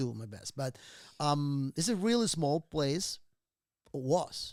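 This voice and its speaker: Lively intonation comes through in a Venezuelan accent on a very clean recording with a silent background. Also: man. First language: Spanish. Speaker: real estate investor. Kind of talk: casual interview chat.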